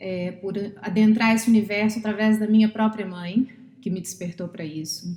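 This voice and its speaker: A somewhat breathy woman with a Brazilian accent talks at a moderate pace with fairly even intonation. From Brazil, Minas Gerais. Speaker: psychologist and therapist. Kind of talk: podcast interview.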